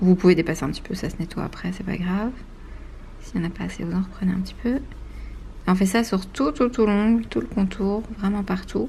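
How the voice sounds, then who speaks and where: A somewhat breathy woman with a dark, mellow tone talks fairly quickly at a medium pitch with ordinary pitch variation, leaving long, frequent pauses. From Belgium. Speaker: nail technician. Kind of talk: tutorial. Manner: fast.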